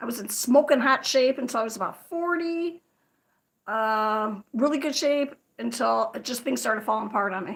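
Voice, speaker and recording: A high-pitched woman's voice in an American accent, with lively intonation. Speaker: crochet livestreamer. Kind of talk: casual livestream chat. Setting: livestream. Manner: fast.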